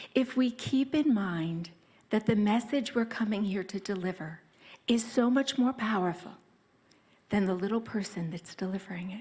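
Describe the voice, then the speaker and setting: A soft-spoken woman talks at a moderate pace with ordinary pitch variation. Her tone is dark and mellow, and somewhat breathy. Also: medium pitch for a woman. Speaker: personal brand consultant. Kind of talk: conference talk. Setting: stage with audience. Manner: animated.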